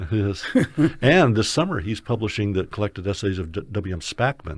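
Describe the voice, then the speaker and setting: On a very clean recording with a silent background, a man with a fairly low, somewhat breathy voice speaks at a fairly quick pace with lively intonation. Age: 60s. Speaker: literary critic and editor. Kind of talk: interview. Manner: halting, with many fillers and restarts.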